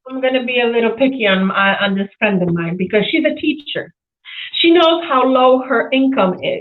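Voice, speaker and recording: A woman's high-pitched, animated voice with lively intonation at a moderate pace. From Poland. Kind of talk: casual chat.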